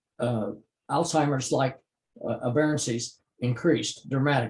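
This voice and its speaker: The speaker has an American accent and a somewhat breathy voice. Intonation stays fairly even. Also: man. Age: 80s+. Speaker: retired biochemistry professor. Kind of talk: interview. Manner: halting, many filler sounds.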